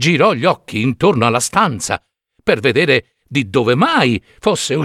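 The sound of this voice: The surroundings stay quiet behind an unforced reading voice.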